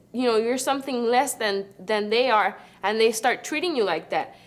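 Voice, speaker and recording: This is a woman with a Spanish accent. Her voice is high in pitch. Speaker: university student. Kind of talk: group discussion testimony. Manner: halting.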